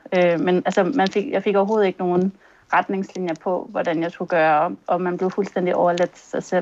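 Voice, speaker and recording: With a normal speaking voice, a woman talks at a fairly quick pace and medium pitch, her intonation fairly even. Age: 30s. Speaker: concussion patient. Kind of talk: testimony in interview. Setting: video call.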